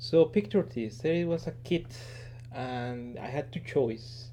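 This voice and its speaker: Very slowly, a man speaks with a non-native accent and vocal fry. His tone is dark and mellow. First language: not English. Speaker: engineer and toy collector. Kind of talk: casual show-and-tell video. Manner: halting, many fillers.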